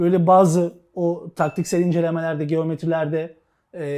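The man has a high pitch and a dark, mellow tone, speaking at a moderate pace in a very clean recording with a silent background. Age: 40s. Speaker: sports show host. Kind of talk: casual chat.

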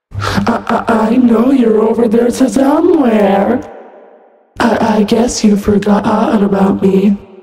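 The put-on character voice is fairly high and fairly slow. A strong echo surrounds it. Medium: voice reel. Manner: stuttering, glitchy, creepy.

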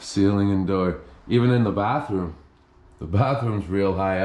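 At a fairly slow pace, a man speaks in a space with audible room echo. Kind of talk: casual exploration commentary. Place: bathroom. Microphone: phone near.

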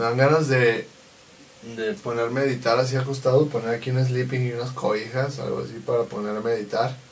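Over light background noise, a man with a Mexican accent talks at a fairly quick pace, with medium pitch and fairly even intonation. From Mexico. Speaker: vlogger and event videographer; vlogger. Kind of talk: casual vlog chat. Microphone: camera far.

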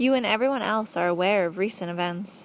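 A woman talks at a moderate pace in a plain, everyday voice. Her pitch is medium. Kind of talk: audiobook narration, reading a book aloud. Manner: measured, even, formal storytelling pace; earnest, didactic, lecture-like.

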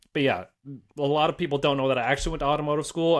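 There is a man speaking over a quiet background. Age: 30s. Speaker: car YouTuber. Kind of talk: casual chat. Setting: video call. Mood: relaxed, conversational. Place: home room. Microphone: studio mic.

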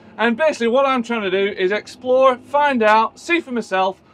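Lively intonation marks a man's speech. He talks at a fairly quick pace. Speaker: presenter. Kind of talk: presenter commentary. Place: farm machine.

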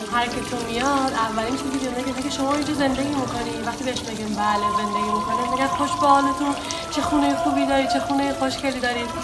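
Clear music plays behind the speech. A woman rushes along at a very fast pace. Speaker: ecolodge owner. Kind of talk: interview answer. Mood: warm, proud. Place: home room.

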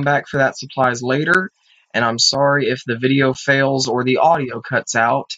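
The background stays quiet. A man is the one talking. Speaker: gamer. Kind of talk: let's play commentary. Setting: home recording. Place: home room. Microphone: webcam.

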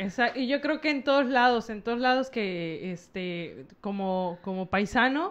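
Her fairly high voice makes very wide pitch swings as this woman speaks at a fairly slow pace with hardly any pauses. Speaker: podcast co-host. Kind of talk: casual chat. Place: studio. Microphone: studio mic.

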